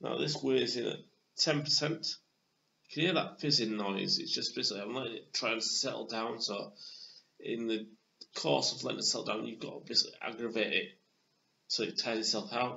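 Very wide pitch swings and long, frequent pauses run through this man's speech in a Yorkshire accent. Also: medium pitch for a man. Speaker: beer reviewer. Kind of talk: casual video review. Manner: hesitant, many fillers.

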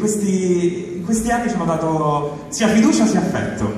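Over light background noise, a man with a high pitch and lively intonation speaks amid strong room echo. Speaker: voice actor. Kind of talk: award acceptance speech. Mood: grateful, honored. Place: stage. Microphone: pa.

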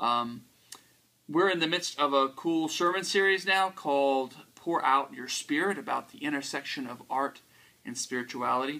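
A man's bright, sharp voice at a moderate pace, with big swings in loudness and ordinary pitch variation. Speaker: pastor. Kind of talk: casual talk to camera. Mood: upbeat, friendly. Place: home room.

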